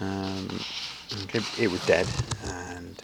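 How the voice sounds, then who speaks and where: A man with a British accent speaks at a fairly low pitch over noticeable background noise. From UK. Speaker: amateur gardener vlogger. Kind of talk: casual walkthrough vlog. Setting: outdoors in garden. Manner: halting, many fillers.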